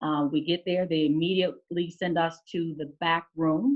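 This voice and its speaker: A woman speaks with an American accent at a very deep, low pitch. Her intonation stays fairly even. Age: 30s. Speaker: state legislator. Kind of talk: testimony. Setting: video call. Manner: halting.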